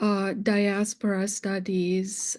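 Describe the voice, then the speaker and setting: In a non-native accent, the speaker delivers a flat monotone with a dark, mellow tone against a quiet background. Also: woman. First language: not English. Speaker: English literature professor. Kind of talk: panel discussion. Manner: halting, many fillers.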